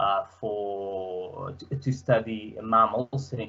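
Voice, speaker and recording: The voice carries a Portuguese accent. Its intonation is fairly even. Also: man. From Portugal. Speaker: student presenter; presenter. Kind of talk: presentation. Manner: hesitant, many fillers. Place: home room.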